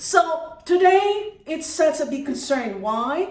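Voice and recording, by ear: A woman's high voice with a slightly mellow tone, big pitch swings and a slow pace, amid audible room echo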